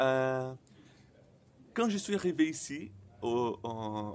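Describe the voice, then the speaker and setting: A man speaks with a Brazilian accent. His pitch variation is ordinary. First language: Portuguese (speaking French). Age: 20s. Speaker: person who stutters sharing experience. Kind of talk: personal vlog. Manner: stuttering; halting, many fillers and repetitions.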